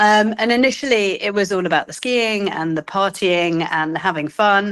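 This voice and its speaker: On a very clean recording with a silent background, a woman speaks with a British accent. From England, London. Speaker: cancer exercise coach. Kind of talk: interview.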